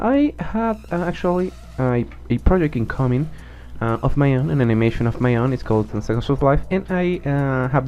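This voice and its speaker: Fairly quick male speech with a Spanish accent. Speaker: animation tutorial creator. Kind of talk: software tutorial. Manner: halting, many fillers and self-corrections.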